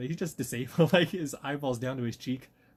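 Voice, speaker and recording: A man's somewhat breathy voice at a very fast pace. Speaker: podcast co-host. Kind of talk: casual chat. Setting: at a friend's house, near garage.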